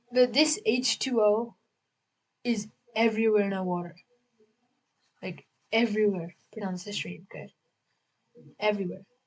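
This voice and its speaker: A woman's fairly high, somewhat breathy voice at a moderate pace, with ordinary pitch variation and long, frequent pauses. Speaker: beginner science video maker. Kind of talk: educational explainer. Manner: halting, repetitive; casual, chatty.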